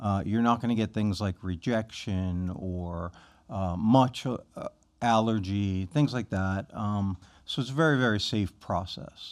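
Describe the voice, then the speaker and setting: A man with a normal speaking voice and an American accent talks at a fairly slow pace and fairly low pitch with ordinary pitch variation, on a very clean recording with a silent background. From Philadelphia. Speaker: physician. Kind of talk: podcast interview.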